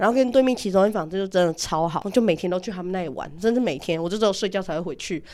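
A woman talks very fast in a medium pitch, her tone dark and mellow, with ordinary pitch variation. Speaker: podcast co-host. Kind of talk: casual chat.

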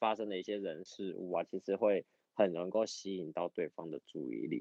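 A man with an ordinary speaking voice talks at a moderate pace, his pitch fairly low with ordinary pitch variation. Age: 30s. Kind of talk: casual chat.

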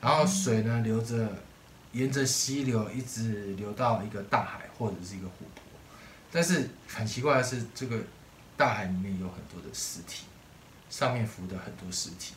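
With audible room echo, a man at medium pitch and ordinary pitch variation speaks with big swings in loudness and long, frequent pauses. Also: moderate pace. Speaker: podcast co-host. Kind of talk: casual chat.

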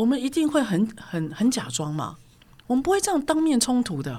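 On a very clean recording with a silent background, a woman with a high pitch talks at a moderate pace with very wide pitch swings. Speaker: corporate trainer. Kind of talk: interview storytelling. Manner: assertive, forceful-sounding.

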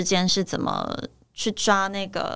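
The recording is very clean, and the background is silent. A female voice speaks at a medium pitch. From Taiwan. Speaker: actress. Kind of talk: interview. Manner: halting.

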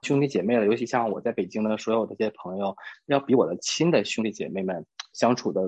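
A man at a fairly quick pace and fairly low pitch, ordinary pitch variation, against a quiet background. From Northeast China. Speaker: office worker and friend of host. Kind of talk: casual chat.

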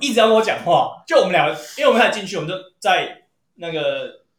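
A man's voice is heard with audible room echo. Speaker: podcast co-host. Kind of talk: casual chat.

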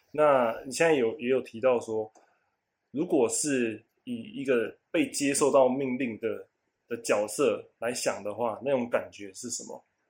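Recorded very cleanly with a silent background, a man at a medium pitch speaks at a fairly slow pace with ordinary pitch variation and big swings in loudness. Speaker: podcast co-host. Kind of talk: casual chat. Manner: lively, energetic; relaxed, sleepy.

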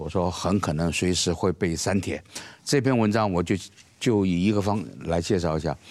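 A man's very deep, low voice with ordinary pitch variation, set against noticeable background noise. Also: moderate pace. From Taiwan. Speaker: political commentator. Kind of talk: panel discussion.

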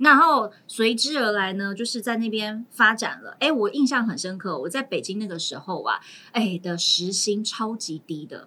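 With an unremarkable speaking voice, a woman talks at a moderate pace and a fairly high pitch, her intonation lively, her loudness swinging widely and hardly any pauses between words. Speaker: teacher, guest co-host. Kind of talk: casual chat.

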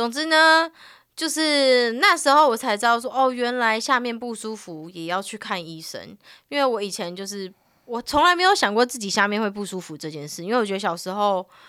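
With a bright, sharp tone and fairly high pitch, a woman talks at a fairly quick pace, her pitch swinging very widely and her loudness rising and falling sharply, on a very clean recording with a silent background. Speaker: podcast co-host. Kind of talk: casual chat.

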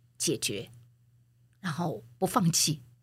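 A woman with a fairly low pitch sounds somewhat breathy on a very clean recording with a silent background. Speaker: former media executive and author. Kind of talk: interview.

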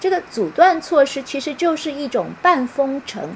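Noticeable background noise beneath a woman speaking. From Taiwan. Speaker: university professor and author. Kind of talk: online book talk lecture. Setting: live-stream video call.

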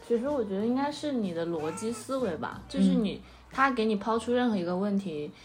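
At a fairly quick pace and with hardly any pauses, a woman talks over noticeable background noise in audible room echo. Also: fairly high pitch for a woman, lively intonation. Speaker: podcast host. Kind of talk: casual chat.

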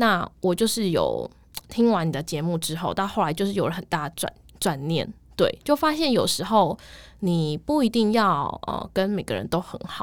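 A woman with a plain, everyday voice speaks at a medium pitch and a moderate pace, with lively intonation. The recording is very clean, with a silent background. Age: 20s. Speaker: office worker in sales, podcast listener. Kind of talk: casual interview chat.

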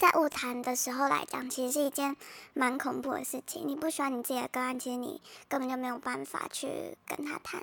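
A woman's high voice with fairly even intonation. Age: young. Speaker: trainee counseling psychologist. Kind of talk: personal testimony. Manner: halting, many fillers.

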